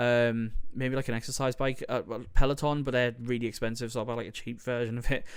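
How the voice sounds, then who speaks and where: This is a man speaking. He has a Teesside accent. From northern England, Teesside (Stockton). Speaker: podcaster. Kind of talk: casual solo podcast monologue. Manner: hesitant, many fillers.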